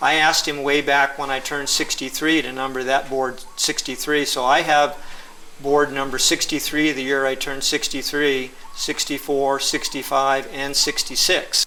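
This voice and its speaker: A man with a fairly high pitch and monotone, flat intonation, at a moderate pace, over noticeable background noise. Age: 60s. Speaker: surfer and customer of the shaper. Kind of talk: interview.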